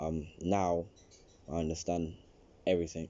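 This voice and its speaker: Here is a man with a London accent. His pitch is very deep and low. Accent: London multicultural English. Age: 18. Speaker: interviewee, young immigrant. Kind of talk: interview.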